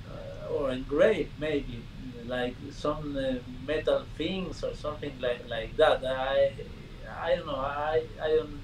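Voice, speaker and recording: Over noticeable background noise, a man with a Spanish accent speaks at a very slow pace. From Argentina. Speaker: magician. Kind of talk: casual game-show chat. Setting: video call. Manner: halting, repeats words.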